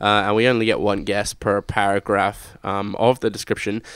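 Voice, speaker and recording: An Australian-accented man on a very clean recording with a silent background. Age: 20s. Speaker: podcast host. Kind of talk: casual chat. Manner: hesitant, many fillers.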